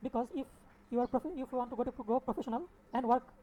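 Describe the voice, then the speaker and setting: Her tone dark and mellow, a woman talks at a very fast pace. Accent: non-native. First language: not English. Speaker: software developer teaching coding. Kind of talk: coding tutorial. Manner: halting, repeats words.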